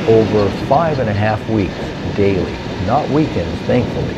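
A man talks at a fairly slow pace while loud background noise fills the clip. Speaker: motorcycle vlogger. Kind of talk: voice-over narration about personal health. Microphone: handheld.

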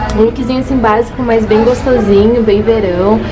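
Clear music runs in the background. Over it, a woman talks. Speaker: fashion vlogger. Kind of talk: casual vlog chat. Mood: cheerful, enthusiastic. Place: shop. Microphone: phone near.

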